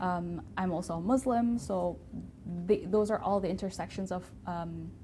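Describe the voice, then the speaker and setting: Medium pitch from a woman, somewhat breathy and dark, mellow in tone, at a moderate pace with fairly even intonation. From Indonesia. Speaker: guest on diversity show. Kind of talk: interview conversation.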